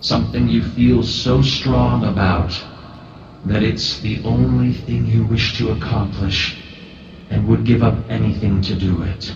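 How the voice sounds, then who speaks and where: A man's put-on character voice, very deep and low, with very wide pitch swings, slight echo and clear background noise. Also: fairly slow pace. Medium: actual play. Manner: formal, measured.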